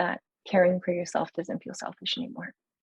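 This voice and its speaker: A woman speaks at a fairly quick pace in a medium pitch, somewhat breathy. The sound is dry and close, with no echo. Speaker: yoga therapist. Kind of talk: interview. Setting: podcast. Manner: soft-spoken.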